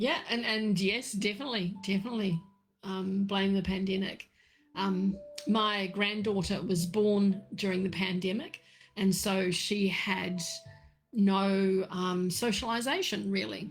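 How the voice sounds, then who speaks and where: Music plays in the background as a woman talks at a fairly slow pace. Her loudness stays very even. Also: medium pitch for a woman, fairly even intonation. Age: 60s. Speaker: tea leaf reader. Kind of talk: casual livestream chat. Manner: halting with fillers.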